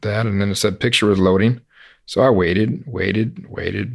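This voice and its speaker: Using vocal fry, a man speaks at a very fast pace with a fairly low pitch. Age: 30s. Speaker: horse trainer and podcast host. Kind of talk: casual interview.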